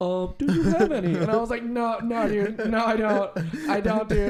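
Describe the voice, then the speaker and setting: A loud, animated man's voice, high in pitch, with noticeable background noise. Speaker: podcast co-host. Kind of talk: casual chat.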